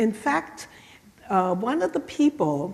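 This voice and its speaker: A woman speaks at a fairly slow pace in a medium pitch. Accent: German. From southwestern Germany. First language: German. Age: 70s. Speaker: Holocaust survivor speaker. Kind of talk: lecture. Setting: church. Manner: halting.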